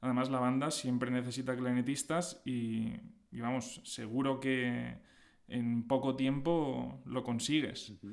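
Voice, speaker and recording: Fairly slow and fairly even in intonation, a man speaks at a medium pitch. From Spain, Alicante (Valencia region). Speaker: orchestral clarinetist. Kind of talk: interview. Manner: hesitant, frequent fillers.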